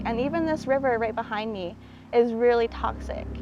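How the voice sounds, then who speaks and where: Here a woman has an ordinary speaking voice, a fairly high pitch and fairly even intonation. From Six Nations reserve, Ontario, Canada. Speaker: water activist. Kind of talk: documentary interview. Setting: outdoors by a river.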